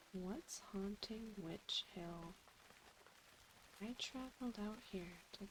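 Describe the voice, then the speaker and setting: Soft-spoken and calm in tone, a woman talks at a very slow pace. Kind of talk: soft-spoken ASMR gameplay commentary. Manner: soft-spoken, slow, calm.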